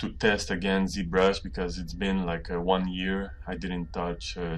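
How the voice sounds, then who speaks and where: Speaking with a non-native accent, a man has a very deep, low pitch. He goes at a fairly slow pace, and room echo is audible. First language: not English. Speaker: 3D artist. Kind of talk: tutorial. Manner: halting.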